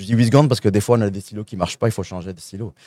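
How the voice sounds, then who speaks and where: A man speaks with a fairly low pitch and a dark, mellow tone. The sound is dry and close with no echo, on a very clean recording with a silent background. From France. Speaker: sales consulting firm founder. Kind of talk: live interview at a trade show. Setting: trade show at a convention centre.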